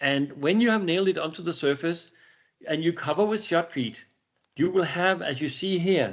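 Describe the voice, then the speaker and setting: Speaking with a Danish accent, a man has a fairly high pitch. The background is quiet. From Denmark. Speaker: company executive presenting a product. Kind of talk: webinar Q&A. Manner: halting, with many repetitions and fillers.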